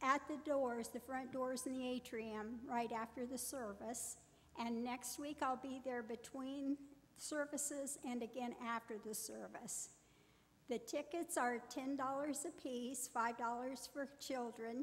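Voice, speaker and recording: A high-pitched woman's voice, very slow, with fairly even intonation. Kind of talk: church announcement. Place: church. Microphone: podium.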